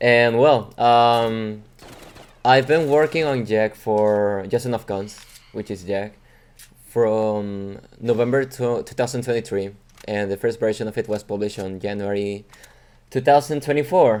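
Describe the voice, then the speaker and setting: Someone speaks at a fairly slow pace with a Mexican accent. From Mexico. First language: Spanish. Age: 20s. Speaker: video game mod developer. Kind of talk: casual monologue to viewers. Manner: halting, many fillers.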